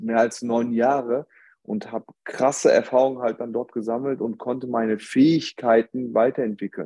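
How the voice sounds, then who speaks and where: With a dark, mellow tone at a medium pitch, a man speaks at a moderate pace in a dry, close recording with no echo. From Germany. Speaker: podcast guest. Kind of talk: casual chat.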